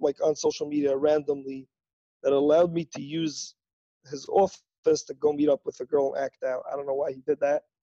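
At a fairly quick pace, a man talks in a fairly high pitch with a dark, mellow tone. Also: dry, close sound with no echo. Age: 20s. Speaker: guest in recovery. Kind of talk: testimony. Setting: remote call.

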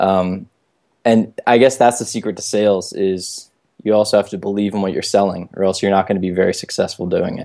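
With an American accent, a man speaks at a fairly low pitch and a fairly quick pace, his tone dark and mellow and his intonation monotone and flat, over a quiet background. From US, Baltimore. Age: 20s. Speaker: entrepreneur and travel hacking author. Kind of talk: casual chat.

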